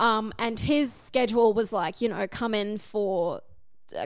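With an Australian accent, a woman speaks at a fairly high pitch with fairly even intonation on a very clean recording with a silent background. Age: 20s. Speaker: podcast guest sharing dating story. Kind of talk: casual chat.

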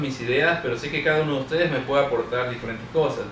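There is noticeable background noise behind this man. He speaks at a fairly quick pace with a fairly high pitch. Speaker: podcast co-host. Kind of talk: casual chat.

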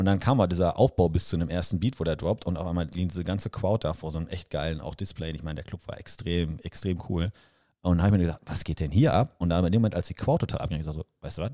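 In a very clean recording with a silent background, a man talks very fast in a very deep, low voice with a dark, mellow tone and ordinary pitch variation. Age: 30s. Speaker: podcast co-host. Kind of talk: casual chat.

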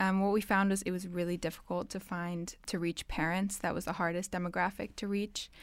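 A woman in an American accent uses a plain, everyday voice at a medium pitch with fairly even intonation, on a very clean recording with a silent background. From half American, half Dutch. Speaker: university student. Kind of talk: casual interview. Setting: studio.

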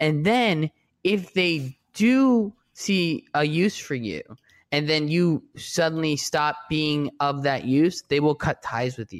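Very slowly and with lively intonation, a fairly high-pitched man with an American accent speaks in a very clean recording with a silent background and a dry, close sound with no echo. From US Northeast. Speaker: TV journalist and writer. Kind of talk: casual interview chat. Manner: hesitant, many restarts.

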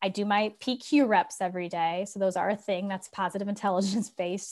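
A woman with a US Midwestern accent, medium-pitched, at a fairly quick pace and fairly even intonation. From Ohio, US Midwest. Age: 40s. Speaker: author and leadership speaker. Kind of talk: interview.

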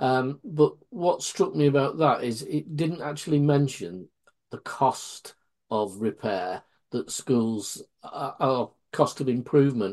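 Here a man speaks at a very slow pace. His fairly high voice has lively intonation. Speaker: co-host, school-sector adviser. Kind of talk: casual interview chat.

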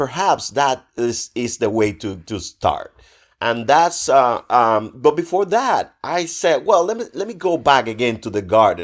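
A man with a Spanish accent speaks at a fairly slow pace and medium pitch. His pitch swings very widely in a very clean recording with a silent background. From Cuba. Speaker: visual artist. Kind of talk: interview. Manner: hesitant, many fillers.

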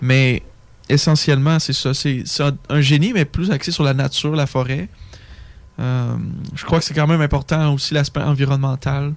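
A man at a moderate pace, fairly high in pitch, with fairly even intonation and long, frequent pauses. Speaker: forestry engineering student. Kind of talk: casual chat.

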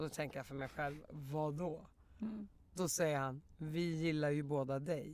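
A woman's very deep, low voice, fairly slow and fairly even in intonation. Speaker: podcast guest. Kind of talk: casual chat. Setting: studio.

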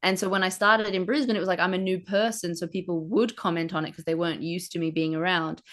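A woman with an Australian accent speaks very fast at a medium pitch with ordinary pitch variation and hardly any pauses against a quiet background. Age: 20s. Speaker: stand-up comedian. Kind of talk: casual chat.

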